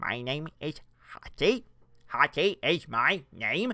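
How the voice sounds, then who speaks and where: At a very slow pace, a put-on character voice sits at a middle pitch. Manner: preachy, activist-sounding.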